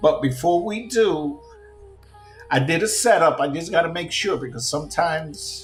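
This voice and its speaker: Over background music and audible room echo, a man with a high pitch and a New York accent speaks at a moderate pace with lively intonation. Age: 50s. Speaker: gaming streamer. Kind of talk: casual rant.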